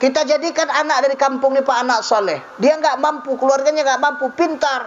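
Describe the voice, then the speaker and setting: Noticeable background noise surrounds a man speaking at an extremely high pitch. He keeps a moderate pace. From North Sumatra, Indonesia (Mandailing Batak). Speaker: Islamic preacher. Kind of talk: religious sermon to a mosque audience. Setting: mosque gathering. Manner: lively, humorous.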